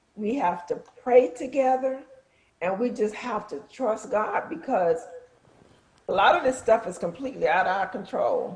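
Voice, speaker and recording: Speaking at a moderate pace with lively intonation, the woman leaves long, frequent pauses. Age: 60s. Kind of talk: talk show discussion.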